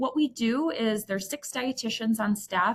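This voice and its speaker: With a Midwestern accent, a woman talks at a fairly high pitch with ordinary pitch variation. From US Midwest. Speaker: dietitian. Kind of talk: presentation.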